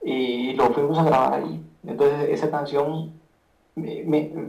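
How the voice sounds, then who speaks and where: Audible room echo follows this man as he talks. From Guatemala. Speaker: rapper and beatmaker. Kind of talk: casual interview chat. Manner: halting, many repetitions.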